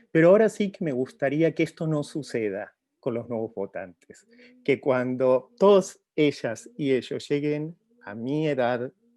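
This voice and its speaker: A man's fairly high voice with lively intonation, a dark, mellow tone, a fairly slow pace and a non-native accent. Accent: foreign accent in Spanish. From outside Mexico. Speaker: professor. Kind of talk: formal address. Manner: hesitant with fillers.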